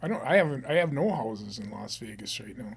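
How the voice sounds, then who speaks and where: Pitched fairly high, a man talks at a fairly quick pace with very wide pitch swings. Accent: Upper Midwest. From northern Minnesota. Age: 70s. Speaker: real estate investor and business owner. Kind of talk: casual interview.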